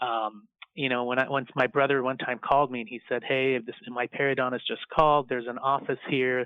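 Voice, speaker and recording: With a flat, monotone intonation, this man's voice stays at a medium pitch. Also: fairly quick pace. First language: not English. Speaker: dentist and dental speaker. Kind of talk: interview. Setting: podcast.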